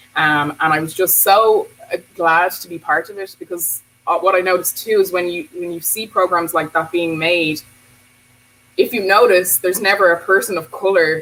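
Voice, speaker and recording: Speaking at a moderate pace with an Irish accent, a woman with a fairly low pitch shows big swings in loudness. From Bray, County Wicklow, Ireland. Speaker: teacher and anti-racism activist. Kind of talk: casual talk to camera.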